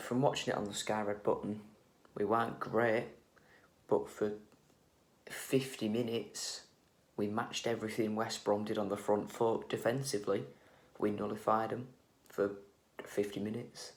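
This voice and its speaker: Quiet and monotone, a man with a fairly low pitch speaks at a moderate pace with long, frequent pauses and audible room echo. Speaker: football fan vlogger. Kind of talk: match reaction vlog. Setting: at home. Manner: quiet, hushed.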